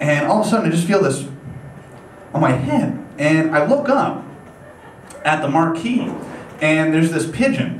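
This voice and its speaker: Speaking at a moderate pace, a man with an American accent swings his pitch very widely and takes long, frequent pauses. Noticeable background noise and audible room echo surround him. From upstate New York. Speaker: comedian. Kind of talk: stand-up. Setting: stage with audience. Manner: casual, hesitant with many fillers.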